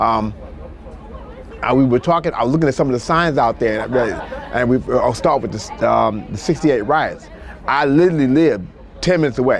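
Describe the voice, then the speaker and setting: Over crowd noise in the background, a man with an American accent speaks at a medium pitch and a fairly quick pace, leaving long, frequent pauses. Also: ordinary pitch variation. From Washington, D.C. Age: 60s. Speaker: retired nurse. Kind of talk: oral history interview. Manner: halting.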